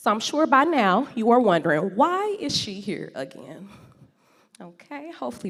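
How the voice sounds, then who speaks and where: A woman speaks in an animated tone at a moderate pace, her fairly high pitch swinging very widely. Vocal fry runs through her voice. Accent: American. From St. Louis, Missouri. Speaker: gardening speaker and entrepreneur. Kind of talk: talk to an audience. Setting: stage with audience.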